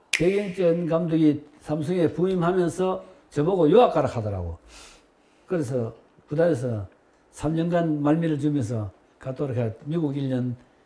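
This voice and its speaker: Long, frequent pauses in a man's fairly high-pitched voice, with lively intonation and a moderate pace. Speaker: retired baseball player and coach. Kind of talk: interview.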